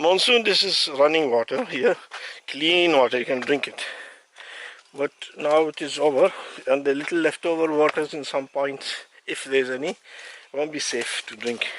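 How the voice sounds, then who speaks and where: The speech has long, frequent pauses, with noticeable background noise. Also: man, fairly high pitch for a man, ordinary pitch variation, moderate pace. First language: Arabic. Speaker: hiker vlogger. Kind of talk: casual vlog narration. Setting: outdoors on a mountain hike. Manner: halting, with self-corrections.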